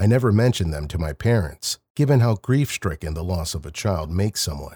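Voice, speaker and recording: A man with a fairly low, dark and mellow voice speaks at a moderate pace, somewhat breathy and with very wide pitch swings. The sound is dry and close with no echo, on a very clean recording with a silent background. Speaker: narrator of listener-submitted stories. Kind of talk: ghost story narration.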